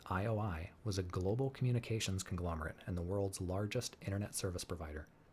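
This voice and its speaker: A man speaks in a very deep, low, somewhat breathy voice. His tone is calm, with ordinary pitch variation. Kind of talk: audiobook reading. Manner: calm, relaxing.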